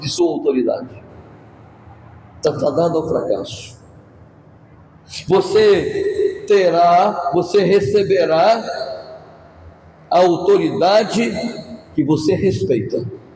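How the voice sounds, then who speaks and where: A man at a very slow pace with long, frequent pauses, audible room echo and noticeable background noise. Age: 60s. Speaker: pastor. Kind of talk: sermon. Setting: church.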